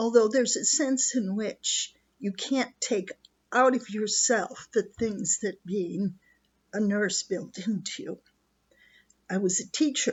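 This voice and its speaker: At a very slow pace with long, frequent pauses, a woman speaks in a somewhat breathy voice at a fairly high pitch with ordinary pitch variation. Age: 70s. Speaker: retired nurse and teacher, video blogger. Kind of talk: personal reflection monologue. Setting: rustic cottage beside a wood stove.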